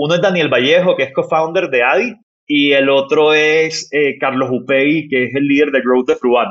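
In a plain, everyday voice, a man talks at a moderate pace with fairly high pitch and ordinary pitch variation. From Barranquilla, northern Colombia. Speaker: startup founder and CEO. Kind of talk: interview conversation.

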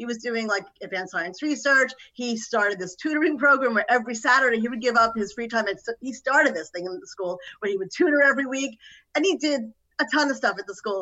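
At a very fast pace, a woman talks with a high pitch and lively intonation. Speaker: host's mother. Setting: video call.

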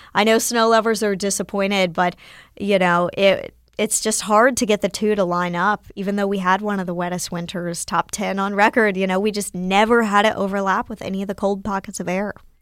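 A woman with an American accent talks at a fairly quick pace, her intonation monotone and flat. The recording is very clean with a silent background. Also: medium pitch for a woman. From North Carolina, near Winston-Salem. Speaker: TV meteorologist. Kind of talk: casual interview.

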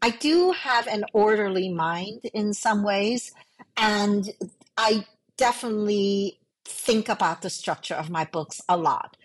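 A woman speaks with a Chinese accent at medium pitch. Her pace is fairly slow and her pitch varies in an ordinary way. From New York City, raised from age five after emigrating from Hong Kong. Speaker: novelist. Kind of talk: casual interview chat.

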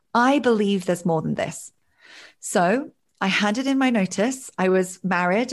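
A woman speaks in an ordinary speaking voice, with medium pitch and ordinary pitch variation. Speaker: life coach. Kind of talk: casual interview.

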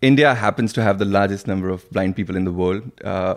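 On a very clean recording with a silent background, a man speaks fast at a low pitch with ordinary pitch variation.

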